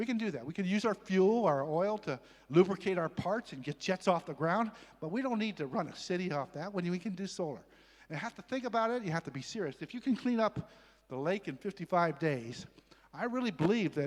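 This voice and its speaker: Someone speaks at a fairly quick pace with an American accent and lively intonation. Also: man, high pitch for a man. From US West Coast (Los Angeles). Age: 70s. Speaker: environmental advocate speaker. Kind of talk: conference presentation. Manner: animated.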